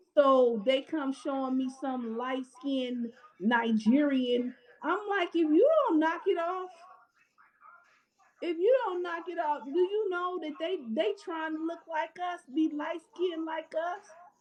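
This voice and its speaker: With an American accent, a woman speaks fairly slowly at an extremely high pitch. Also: lively intonation. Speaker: live stream host. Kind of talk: casual chat.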